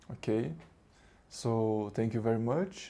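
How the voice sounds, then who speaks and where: In a Portuguese accent, a man speaks with a dark, mellow tone. His pitch is medium and his intonation fairly even. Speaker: spiritual teacher. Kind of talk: spiritual talk. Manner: halting.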